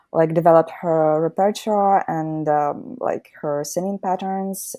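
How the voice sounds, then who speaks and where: A woman's fairly low, dark, mellow voice in a Ukrainian accent, very slow, with ordinary pitch variation, in a very clean recording with a silent background. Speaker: singer in a folk band. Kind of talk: casual interview.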